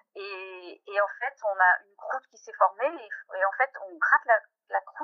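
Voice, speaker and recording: A woman talks at a fairly slow pace with big swings in loudness. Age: 40s. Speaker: pianist and mother giving a testimony. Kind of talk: testimony. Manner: halting, many hesitations and repetitions.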